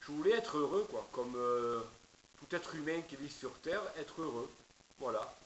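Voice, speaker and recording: A man's fairly high voice in a southern French accent, at a fairly slow pace. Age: 50s. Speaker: preacher. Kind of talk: testimony. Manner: halting, many hesitations.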